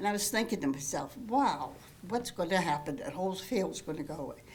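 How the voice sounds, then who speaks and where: The speaker has an American accent and ordinary pitch variation. The pace is moderate, with audible room echo. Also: woman. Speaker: resident speaking at public comment. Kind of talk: public comment at council meeting. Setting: council meeting room. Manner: halting.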